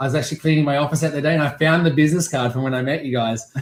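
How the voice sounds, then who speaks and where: This man, speaking with an Australian accent, has a fairly high-pitched voice. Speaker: real estate auctioneer. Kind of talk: interview. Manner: animated.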